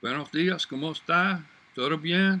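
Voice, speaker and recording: Bright and sharp in tone, a man speaks at a high pitch. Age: 70s. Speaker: retired construction superintendent. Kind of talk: motivational talk to camera. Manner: casual, conversational.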